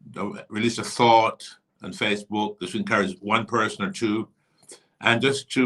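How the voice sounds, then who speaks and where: A plain, everyday voice from a man, fairly low in pitch, fairly quick, with fairly even intonation. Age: 60s. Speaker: bishop, church leader. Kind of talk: casual interview. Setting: live stream on social media.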